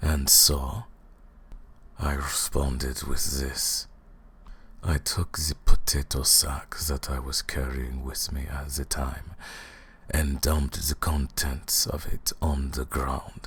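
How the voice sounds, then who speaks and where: In a put-on character voice, a man speaks fairly slowly with a very deep, low pitch and a menacing tone. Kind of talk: ASMR roleplay. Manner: mocking, menacing.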